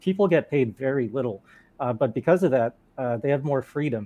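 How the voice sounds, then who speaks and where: Against a quiet background, a man with an American accent speaks at a moderate pace with lively intonation, his fairly high voice dark and mellow in tone. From Thailand and Taiwan, then US from age five. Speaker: video game developer. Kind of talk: casual chat. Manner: halting, many fillers.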